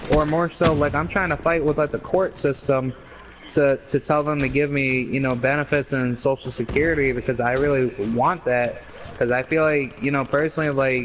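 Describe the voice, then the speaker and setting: This man keeps a moderate pace and fairly even intonation while noticeable noise sits in the background. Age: 20s. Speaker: gamer streamer. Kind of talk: casual chat. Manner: halting.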